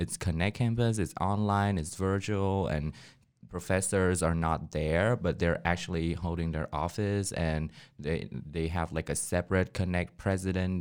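Speaking at a fairly slow pace, a man with a very deep, low voice keeps his intonation fairly even on a very clean recording with a silent background. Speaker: student newspaper editor. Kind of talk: casual chat. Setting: studio.

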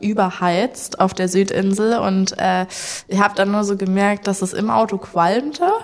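A woman with an unremarkable speaking voice talks at a fairly slow pace and a medium pitch, her intonation fairly even. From Saxony, Germany (Leipzig). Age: 20s. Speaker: backpacker. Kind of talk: casual chat.

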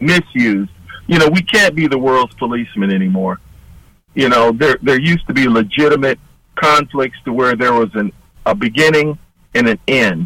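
An unremarkable speaking voice from a man with an American accent, medium pitch, lively intonation, and a moderate pace. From Detroit, Michigan. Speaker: army veteran and retired state trooper. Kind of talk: radio interview.

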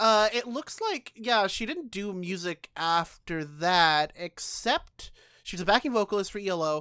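On a very clean recording with a silent background, a woman speaks at a fairly slow pace with a playful, bright, sharp tone and lively intonation. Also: medium pitch for a woman, dry, close sound with no echo. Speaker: podcast co-host. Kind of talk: casual banter, podcast chat. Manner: joking, playful.

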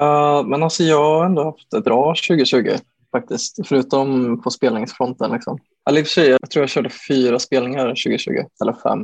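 Dry and close with no echo, a man talks at a moderate pace. His pitch is fairly high with ordinary variation. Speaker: bedroom pop musician. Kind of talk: casual interview. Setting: remote recording over Zoom. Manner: halting, many fillers and repeated words.

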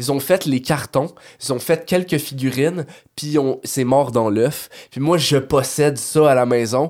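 A man with a Quebec accent, fairly high pitch and ordinary pitch variation, animated in tone, at a fairly slow pace. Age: 30s. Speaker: toy collector. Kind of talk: casual chat.

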